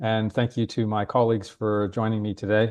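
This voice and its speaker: With an American accent, a man is talking. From United States. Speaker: webinar host. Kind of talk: webinar hosting. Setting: online webinar. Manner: hesitant, many fillers.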